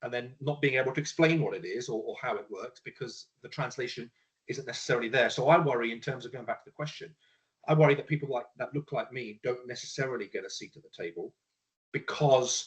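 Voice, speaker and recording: A man talks at a very fast pace, his loudness swinging widely. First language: Punjabi. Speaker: panelist. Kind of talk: panel discussion. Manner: halting.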